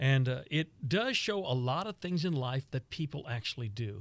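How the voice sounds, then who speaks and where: In an American accent, a somewhat breathy voice speaks with lively intonation on a very clean recording with a silent background. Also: man. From Texas. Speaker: radio veteran and author. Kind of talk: casual interview chat.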